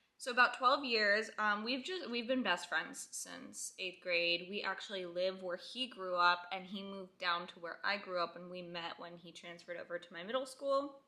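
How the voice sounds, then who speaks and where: With hardly any pauses, a normal speaking voice moves at a moderate pace, showing ordinary pitch variation and big swings in loudness. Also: woman, medium pitch for a woman. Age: 20s. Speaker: stay-at-home mom vlogger. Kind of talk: casual Q&A vlog. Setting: at home on couch. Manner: chatty, rambling filler.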